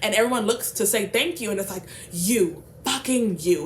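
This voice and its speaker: There is noticeable background noise behind a woman speaking. Her pitch is fairly high with ordinary pitch variation. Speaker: book vlogger. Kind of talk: casual book summary vlog. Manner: fast; animated.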